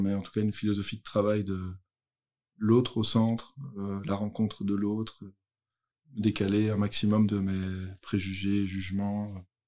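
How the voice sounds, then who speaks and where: A man with a fairly low voice delivers his words at a moderate pace. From Belgium, Brussels. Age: 30s. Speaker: youth social worker. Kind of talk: interview testimony. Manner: hesitant.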